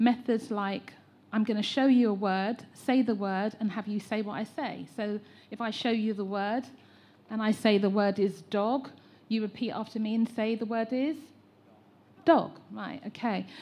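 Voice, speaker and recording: Speaking with an English accent, a woman uses a fairly high pitch, a dark, mellow tone, fairly even intonation and a moderate pace. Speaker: educator and teacher trainer. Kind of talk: public consultation contribution.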